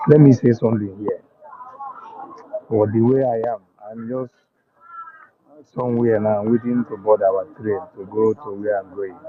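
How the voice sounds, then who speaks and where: A man with a Nigerian accent, medium pitch and fairly even intonation, at a moderate pace with long, frequent pauses and big swings in loudness. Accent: Nigerian Igbo English. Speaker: caller on online talk stream. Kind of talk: passionate call-in speech. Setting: waiting at a train station.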